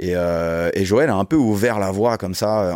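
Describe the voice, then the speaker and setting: A man with a dark, mellow tone and ordinary pitch variation is heard on a very clean recording with a silent background. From Paris region, Yvelines (Guyancourt). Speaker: sports management consultant and youth football coach. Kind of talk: interview. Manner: casual, hesitant with many fillers.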